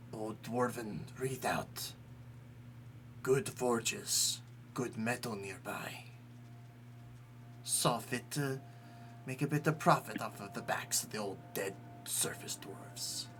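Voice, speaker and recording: A man's put-on character voice at medium pitch, fairly slow, with long, frequent pauses. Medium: actual play. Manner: clipped, terse phrases.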